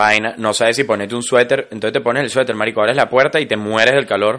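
This man speaks at a medium pitch with a Venezuelan accent. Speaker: podcast co-host. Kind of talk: casual chat. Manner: animated.

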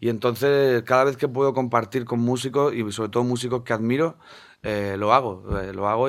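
A man with a normal speaking voice, fairly even intonation and a fairly quick pace. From Spain, Murcia (Segura river area). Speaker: singer-songwriter. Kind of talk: radio interview.

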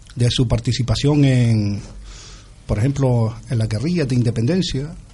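A man speaks at a medium pitch with ordinary pitch variation and a fairly slow pace. His tone is dark and mellow and somewhat breathy. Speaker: writer, singer-songwriter and political activist. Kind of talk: interview.

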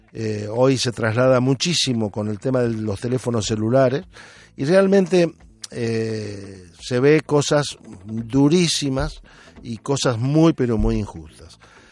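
A man talks at a very slow pace. His medium-pitched voice carries lively intonation. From Argentina. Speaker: radio host. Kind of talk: casual radio chat. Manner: hesitant, frequent fillers.

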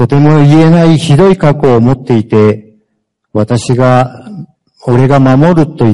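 The speaker uses a fairly slow pace and a dark, mellow tone, with a Japanese accent. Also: man. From Japan, Fukuoka. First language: Japanese (speaking Spanish). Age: 50s. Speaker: former prisoner. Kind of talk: testimony.

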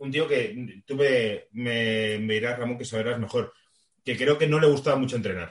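Spoken at a fairly slow pace, an ordinary speaking voice carries ordinary pitch variation. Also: man, medium pitch for a man. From Madrid, Spain. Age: 30s. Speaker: podcast host. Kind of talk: casual chat. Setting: video call.

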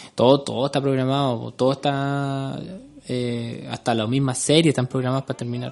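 A man speaks in a Chilean accent with monotone, flat intonation. Noticeable background noise is present. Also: medium pitch for a man, fairly quick pace. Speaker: podcast co-host. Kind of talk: casual chat.

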